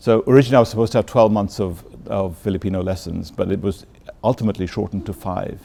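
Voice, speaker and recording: This man talks at a very fast pace, his fairly low voice carrying a dark, mellow tone. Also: ordinary pitch variation. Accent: London. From London, England. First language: Bengali. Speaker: ambassador. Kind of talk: interview. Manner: halting.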